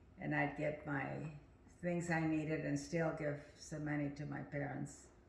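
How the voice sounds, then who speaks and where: With audible room echo, a woman talks in a very deep, low pitch at a moderate pace with monotone, flat intonation. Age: 80s+. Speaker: family elder sharing memories. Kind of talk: family reminiscing interview. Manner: halting, hesitant.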